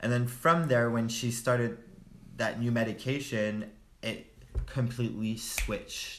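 A man's medium-pitched, flat, monotone delivery at a fairly slow pace, with audible room echo. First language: French. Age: 20s. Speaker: friend of host. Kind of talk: casual chat.

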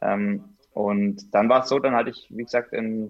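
His pace is moderate and his intonation fairly even. The speaker is a man with a medium pitch. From Swabia, Bad Urach (Baden-Württemberg). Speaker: mountain bike racer. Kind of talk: casual interview.

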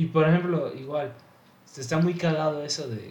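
With a Mexican accent, a man speaks at a fairly high pitch in a somewhat breathy voice, and audible room echo surrounds him. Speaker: aspiring music producer. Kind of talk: casual chat.

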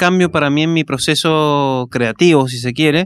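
The pitch rises and falls in an ordinary way. Music is heard in the background. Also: man. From Argentina, Mendoza (Maipú). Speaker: musician, singer-songwriter. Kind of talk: casual radio interview. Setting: radio studio, live.

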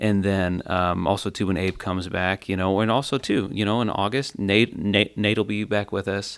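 Over a silent background on a very clean recording, a man speaks with an ordinary speaking voice at a fairly low pitch. His moderate pace has hardly any pauses, and his intonation stays fairly even. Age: 30s. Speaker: church worship leader and podcast host. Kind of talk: casual chat.

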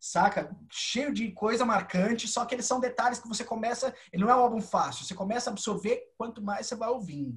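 A man speaks with an extremely high pitch. His pitch varies in an ordinary way and he hardly pauses. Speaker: podcast host. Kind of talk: casual chat.

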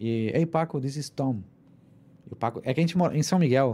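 A man's dark, mellow tone at medium pitch, with lively intonation and a moderate pace. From southern Brazil (Rio Grande do Sul), then Mexico from 14. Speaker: musician and cultural producer. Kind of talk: casual interview chat.

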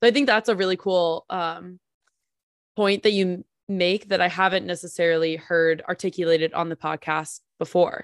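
Against a quiet background, a woman uses a plain, everyday voice with an American accent at a fairly low pitch and moderate pace. Her intonation is fairly even, and the sound is dry and close with no echo. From New Jersey. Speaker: podcast co-host. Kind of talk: podcast interview. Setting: video call.

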